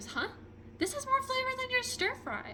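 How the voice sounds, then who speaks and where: Against clear background noise, a woman puts on a squeaky character voice at an extremely high pitch and a moderate pace. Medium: read story. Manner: measured, judging.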